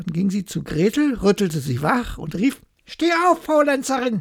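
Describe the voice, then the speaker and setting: Using vocal fry, a woman speaks fairly slowly at a fairly high pitch, her voice swinging very widely in pitch. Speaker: bedtime story narrator. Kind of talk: bedtime story telling, calm fairy-tale reading aloud. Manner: slow, soft, soothing.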